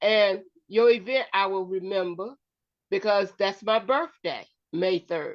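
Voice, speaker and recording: A woman speaks in an unremarkable speaking voice at a medium pitch. Her pitch varies in an ordinary way, and her pace is fairly slow. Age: 60s. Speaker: show co-host, former foster parent. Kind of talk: casual chat.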